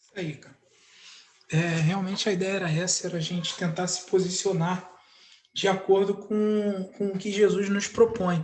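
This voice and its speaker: At a moderate pace, a man with a high pitch speaks in a monotone, flat intonation, with big swings in loudness. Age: 30s. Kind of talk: casual chat.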